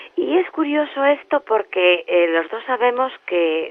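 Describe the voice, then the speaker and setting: A woman is speaking. Her pitch sits fairly high. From Spain. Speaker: journalist, interviewer. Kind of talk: interview questions.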